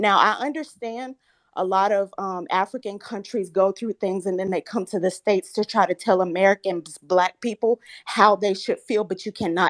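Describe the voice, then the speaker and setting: A woman's medium-pitched voice at a moderate pace, in a very clean recording with a silent background. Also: fairly even intonation. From US South. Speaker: caller. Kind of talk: heated debate; casual chat. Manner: shaky.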